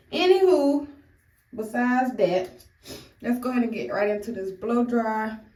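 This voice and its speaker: Dark, mellow female voice with lively intonation, a moderate pace, long and frequent pauses, and audible room echo. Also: fairly high pitch for a woman. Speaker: beauty vlogger. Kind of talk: hair tutorial. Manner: casual, chatty.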